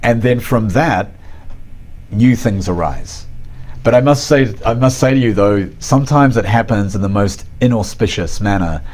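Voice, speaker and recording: A man talks at a moderate pace in a New Zealand accent, his pitch medium with ordinary variation. His loudness stays very even, and the room echo is audible. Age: 40s. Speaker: artist and art professor. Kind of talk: interview.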